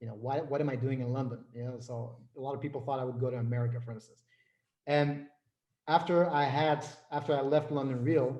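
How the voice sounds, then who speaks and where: A man speaks in a dark, mellow, somewhat breathy voice at medium pitch. His pace is fairly quick and his intonation fairly even. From Flanders, Belgium. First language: Dutch. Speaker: business and life coach. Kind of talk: interview.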